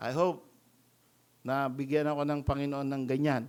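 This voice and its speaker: A man talks with fairly even intonation in a fairly high voice. The recording is very clean, with a silent background. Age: 60s. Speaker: pastor. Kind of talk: sermon.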